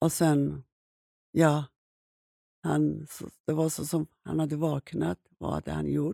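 At a very slow pace with long, frequent pauses, a woman speaks in a dry, close sound with no echo. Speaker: survivor telling her life story. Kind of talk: personal testimony in an interview. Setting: studio.

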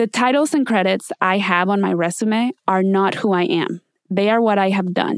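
A woman with a Spanish accent at medium pitch and moderate pace, ordinary pitch variation, dry and close with no echo, on a very clean recording with a silent background. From Mexico City. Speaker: podcast host. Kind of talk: scripted podcast intro monologue.

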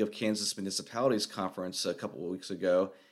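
Talking at a fairly quick clip, this man's pitch rises and falls in an ordinary way. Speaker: podcast host, city manager. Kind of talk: solo commentary podcast. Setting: bare apartment with echo. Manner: subdued, kept quiet to limit echo.

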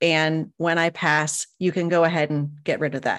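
A woman with a fairly low pitch uses an ordinary speaking voice at a moderate pace, with a quiet background. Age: 40s. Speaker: podcaster and home organizer. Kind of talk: casual interview chat.

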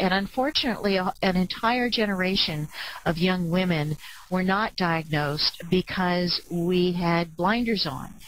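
A woman speaks fairly slowly with an unremarkable speaking voice, a medium pitch and ordinary pitch variation. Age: 60s. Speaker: clinical psychologist and ADHD advocate. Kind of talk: webcast presentation.

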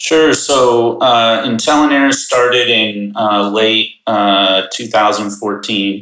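A man with an American accent, a very slow pace and very even loudness. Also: medium pitch for a man. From US Midwest, Chicago suburbs. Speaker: ag tech company co-founder. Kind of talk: podcast interview.

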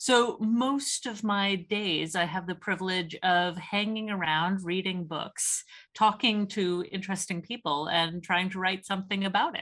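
In an unremarkable speaking voice, a woman with a Canadian accent talks at a fairly slow pace and medium pitch, with ordinary pitch variation, hardly any pauses and a quiet background. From Canada. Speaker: theology researcher and author. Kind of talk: casual interview.

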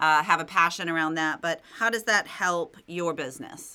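In a very clean recording with a silent background, a woman speaks at a moderate pace and a fairly low pitch, her tone bright and sharp and her intonation fairly even. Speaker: podcast host. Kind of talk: interview conversation.

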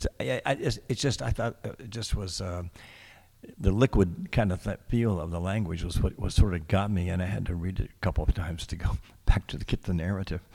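Against a very clean, silent background, a man talks fairly quickly in a very deep, low, somewhat breathy voice with big swings in loudness. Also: ordinary pitch variation. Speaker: radio host. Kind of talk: live radio poetry show, casual chat. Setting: radio studio, live broadcast. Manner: hesitant, filler-heavy.

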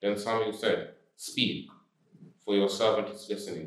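A man's fairly low voice at a fairly slow pace. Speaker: congregation member reading scripture. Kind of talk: reading aloud.

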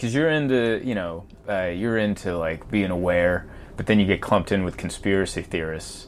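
A man talks in an unremarkable speaking voice at a fairly low pitch. His pace is fairly quick. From US, moved from Hungary at age four. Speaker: stand-up comedian. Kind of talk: casual chat.

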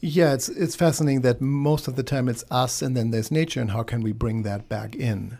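Delivery is fairly quick, with hardly any pauses and ordinary pitch variation. The voice carries a German accent. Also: man, medium pitch for a man. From Germany. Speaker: radio host. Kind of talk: radio talk show. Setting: studio.

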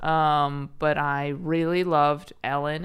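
This very clean recording has a silent background. A woman with an American accent speaks in a very deep, low pitch. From Chicago suburbs, US Midwest. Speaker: stand-up comedian. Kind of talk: casual chat.

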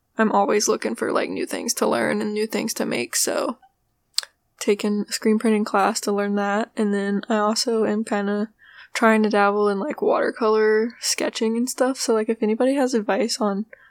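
A quiet woman at a moderate pace, recorded dry and close with no echo. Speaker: podcast host. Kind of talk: casual monologue. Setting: home, roommate nearby. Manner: quiet, subdued; low energy.

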